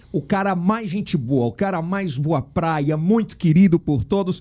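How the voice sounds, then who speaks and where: This man has a high pitch and a dark, mellow tone. He speaks at a fairly slow pace with ordinary pitch variation. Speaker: podcast host. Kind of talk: casual interview chat.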